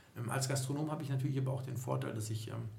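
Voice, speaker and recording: Audible room echo and noticeable background noise surround a man whose intonation stays fairly even. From Düsseldorf, western Germany. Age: 40s. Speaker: bar and club owner. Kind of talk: podcast interview.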